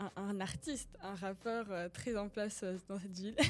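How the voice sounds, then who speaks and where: A woman speaks at a medium pitch. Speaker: podcast host. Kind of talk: casual podcast interview talk.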